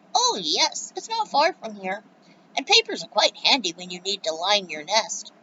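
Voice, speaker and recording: This is a put-on character voice. It sounds squeaky. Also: woman, medium pitch for a woman, moderate pace. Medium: read story.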